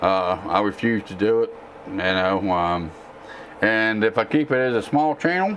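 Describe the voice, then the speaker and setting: With a Texan accent and a relaxed tone, a man talks at a fairly slow pace and medium pitch with lively intonation. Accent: southern drawl, Texan-sounding. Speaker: tech YouTuber and gamer. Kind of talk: casual live-stream Q&A. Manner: relaxed, with frequent fillers.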